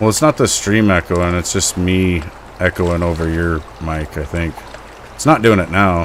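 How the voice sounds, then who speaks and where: Very deep, low-pitched man's voice with an American accent, fairly even intonation, moderate pace, and noticeable background noise. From US West, northwest Montana. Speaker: gaming streamer. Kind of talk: casual chat. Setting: live stream with voice chat party. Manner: loud.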